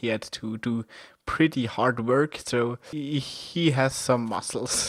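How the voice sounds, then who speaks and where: With a German accent, a man talks at a very slow pace, at a medium pitch with ordinary pitch variation. The recording is very clean, dry and close with no echo and a silent background. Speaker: amateur comic artist, video creator. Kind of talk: casual monologue, character introduction. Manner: halting, non-fluent.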